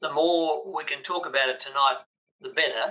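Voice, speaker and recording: A man with an Australian accent talks at a moderate speed. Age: 80s+. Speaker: business coach. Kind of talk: interview.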